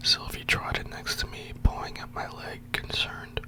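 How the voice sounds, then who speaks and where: A whispering man amid noticeable background noise. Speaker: ASMR storyteller. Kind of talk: read story. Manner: whispered. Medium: read story.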